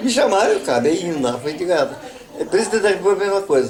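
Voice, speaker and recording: Over noticeable background noise, a man talks with lively intonation in a high pitch. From Avaré, São Paulo, Brazil. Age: 80s+. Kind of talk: interview answer. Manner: casual storytelling.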